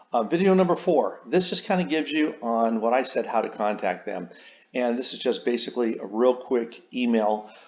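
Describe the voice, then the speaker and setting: Medium in pitch, a man talks at a fairly quick pace. His pitch variation is ordinary. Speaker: author and sales trainer. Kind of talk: tutorial. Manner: fast.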